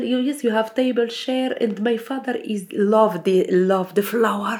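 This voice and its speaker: A woman's speech shows ordinary pitch variation and moves at a fairly slow pace. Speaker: home cook, community project member. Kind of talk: casual chat. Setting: at home over a meal. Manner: halting.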